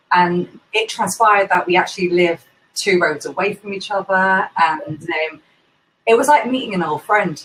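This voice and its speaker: In a London accent, a woman speaks at a moderate pace, her medium pitch showing ordinary variation. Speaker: indie bookseller, event host. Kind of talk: casual interview chat.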